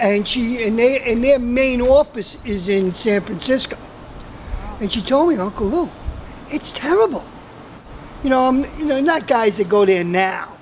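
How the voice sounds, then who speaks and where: A woman's high-pitched voice at a moderate pace, lively in intonation, with long, frequent pauses and noticeable background noise. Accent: New York. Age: 60s. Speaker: closeout merchant.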